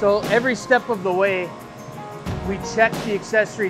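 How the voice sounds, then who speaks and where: At a moderate pace, the voice carries on while clear music sounds in the background. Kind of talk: guided tour explanation. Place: workshop.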